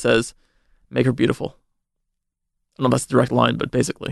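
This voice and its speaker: Vocal fry comes through in a dry, close sound with no echo. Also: man. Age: 30s. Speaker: entertainment editor and podcaster. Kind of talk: casual chat. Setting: studio.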